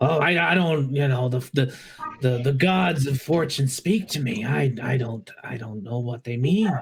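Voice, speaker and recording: Using a put-on character voice, a man speaks at a fairly high pitch and a fairly slow pace, with lively intonation and long, frequent pauses. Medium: actual play. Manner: theatrical, sighing "oh"s.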